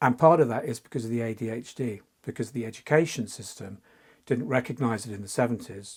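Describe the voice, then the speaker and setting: This man talks very fast at a medium pitch, with ordinary pitch variation and a somewhat breathy sound. His loudness swings widely. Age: 60s. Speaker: fantasy artist. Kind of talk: interview. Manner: halting.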